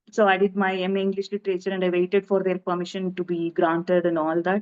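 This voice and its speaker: A woman speaks with a Telugu accent at a medium pitch. Her intonation is monotone and flat. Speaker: film director. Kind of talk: interview. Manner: halting.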